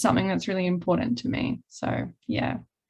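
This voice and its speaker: A woman with an Australian accent, medium pitch and ordinary pitch variation, against a quiet background. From Australia, Melbourne. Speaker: podcast host, student. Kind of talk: casual interview.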